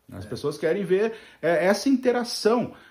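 A man is speaking. His voice comes across as somewhat breathy. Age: middle-aged. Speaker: podcast co-host on social media marketing. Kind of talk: casual chat.

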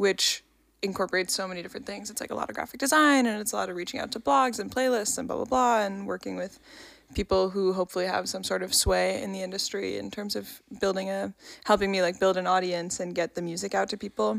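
Speaking at a very fast pace, a woman with an American accent uses a medium pitch. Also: ordinary pitch variation. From New York. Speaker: podcast co-host and musician. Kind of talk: casual chat.

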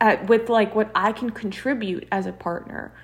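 A fairly high-pitched woman's voice at a moderate pace, fairly even in intonation, over noticeable background noise. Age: 20s. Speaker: podcast co-host. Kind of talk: casual chat.

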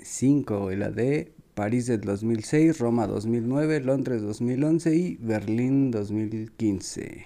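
A man's medium-pitched voice, dark and mellow in tone, with ordinary pitch variation. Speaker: football podcast co-host. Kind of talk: casual chat.

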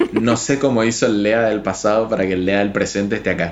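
A man talks at a fairly quick pace in a fairly low pitch. Audible room echo follows his words. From Argentina, Chaco. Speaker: illustrator and graphic designer. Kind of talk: casual interview chat.

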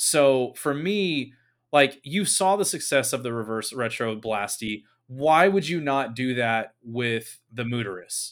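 A man speaks at a fairly slow pace with a medium pitch and lively intonation. The recording is very clean, with a silent background. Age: 30s. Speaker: hockey podcast host. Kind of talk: casual chat. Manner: animated.

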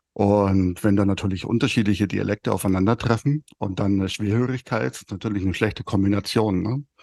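Over a quiet background, a man speaks at a fairly quick pace with hardly any pauses, his sound dry and close with no echo. His fairly low voice has a dark, mellow tone and ordinary pitch variation. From Upper Bavaria, near Munich. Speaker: podcast co-host with Usher syndrome. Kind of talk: casual chat.

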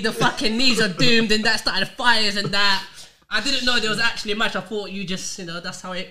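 A man's raised, projected voice with a London accent, high-pitched, very fast, with ordinary pitch variation. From North London. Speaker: podcast host. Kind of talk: casual chat.

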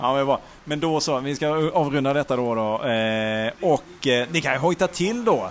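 Lively intonation and a moderate pace from a man with a fairly high pitch. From Malmö, southern Sweden. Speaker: podcast co-host. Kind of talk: casual chat. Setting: bar on a busy street.

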